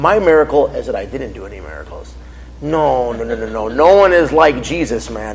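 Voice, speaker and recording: Amid noticeable background noise, a man speaks at a fairly quick pace, his loudness swinging widely. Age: 30s. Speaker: faith speaker, former drug dealer. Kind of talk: Q&A after a testimony talk. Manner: casual, animated.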